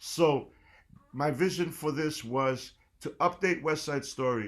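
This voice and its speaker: Using lively intonation, a man speaks in a New York accent. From New York City, South Bronx. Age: 60s. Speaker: jazz percussionist and band leader. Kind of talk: guest lecture.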